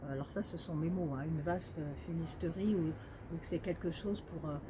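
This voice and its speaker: Her intonation stays fairly even. This woman has a fairly low pitch. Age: 60s. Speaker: medium and numerologist, author. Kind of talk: casual monologue to camera. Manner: halting, many hesitations.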